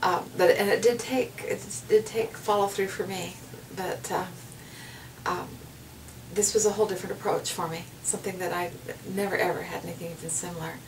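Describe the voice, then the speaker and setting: Against noticeable background noise, a woman talks at a fairly quick pace but leaves long, frequent pauses. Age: 60s. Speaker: patient giving a testimonial. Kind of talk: testimony. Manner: halting, with many fillers and repeats.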